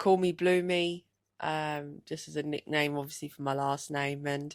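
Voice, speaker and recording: On a very clean recording with a silent background, a woman speaks at a fairly slow pace with a very deep, low pitch and fairly even intonation. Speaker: darts player and podcast co-host. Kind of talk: casual chat.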